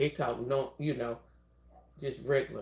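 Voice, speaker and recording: This speaker talks at a moderate pace with a Southern US accent. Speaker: nursing assistant livestreamer. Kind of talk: casual livestream chat.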